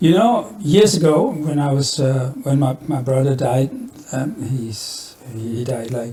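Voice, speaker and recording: Over noticeable background noise, a man with a Flemish Belgian accent and a fairly high pitch speaks at a fairly slow pace. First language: Dutch (Flemish). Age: 70s. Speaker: musician. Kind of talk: podcast interview. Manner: halting.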